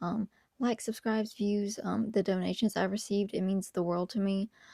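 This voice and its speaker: Someone is whispering. The sound is dry and close, with no echo. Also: woman. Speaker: video essayist, youtuber. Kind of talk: casual video commentary. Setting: home recording at night.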